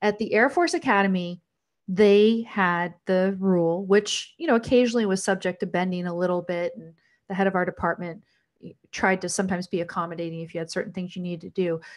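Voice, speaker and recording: This woman has an ordinary speaking voice at a medium pitch, with fairly even intonation. She talks at a fairly quick pace against a quiet background. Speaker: talk show host and former law professor. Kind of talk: patron Q&A livestream. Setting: livestream.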